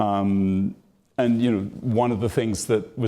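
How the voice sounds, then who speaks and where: In a British accent, a man speaks at a fairly low pitch with a dark, mellow tone and fairly even intonation. His moderate pace comes through a very clean recording with a silent background. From Britain. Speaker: author and interviewer. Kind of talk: live onstage interview. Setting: stage with audience.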